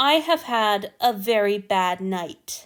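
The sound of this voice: In a put-on character voice, a woman speaks at medium pitch and a very slow pace on a very clean recording with a silent background.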